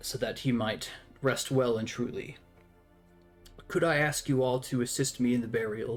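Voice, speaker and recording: A man in a put-on, raspy character voice speaks at a moderate pace and medium pitch with fairly even intonation and long, frequent pauses, faint music playing in the background. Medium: actual play. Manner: solemn, courteous.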